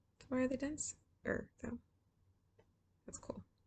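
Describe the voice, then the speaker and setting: A soft-spoken woman talks at a moderate pace. Her tone is tired. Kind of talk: soft-spoken ASMR reading of interesting facts with casual commentary. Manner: soft-spoken, tired.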